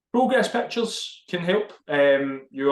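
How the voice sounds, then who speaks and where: With a Glaswegian accent, a man talks in very wide pitch swings. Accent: Glaswegian Scottish. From Scotland, Glasgow. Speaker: fitness podcast co-host. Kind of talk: casual chat.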